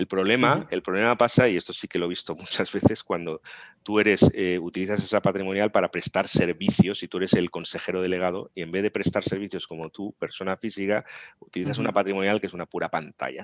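In a dry, close recording with no echo, a man speaks at a very fast pace with a very deep, low pitch and ordinary pitch variation. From Spain, Tarragona (Catalonia). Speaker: corporate lawyer. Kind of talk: interview.

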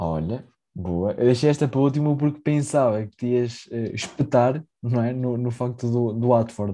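Against a quiet background, a man talks at a moderate pace in a medium-pitched voice with a dark, mellow tone and ordinary pitch variation. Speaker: football podcast co-host. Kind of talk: casual chat.

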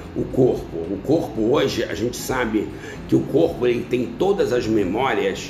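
Noticeable background noise and audible room echo surround a man's voice. He talks at medium pitch and a fairly slow pace. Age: 60s. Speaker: endocrinologist. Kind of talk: interview.

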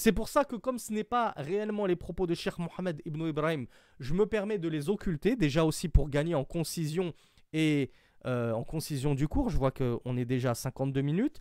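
A man talks at a moderate pace with a fairly high pitch and lively intonation. He has an unremarkable speaking voice. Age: 40s. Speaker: Islamic religious teacher. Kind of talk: lecture.

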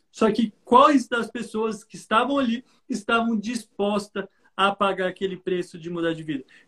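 In a raised, projected voice with a bright, sharp tone, a man speaks at a moderate pace and high pitch, with ordinary pitch variation, big swings in loudness, and a dry, close sound with no echo. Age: 20s. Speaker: investor and entrepreneur, investment mentor. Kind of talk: live stream interview. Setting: online live stream.

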